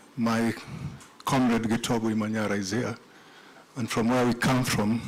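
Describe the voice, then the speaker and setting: The man's intonation is monotone and flat at a moderate pace. Noticeable background noise sits behind him. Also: medium pitch for a man. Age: 60s. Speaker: tribute speaker, former political prisoner. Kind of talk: tribute speech.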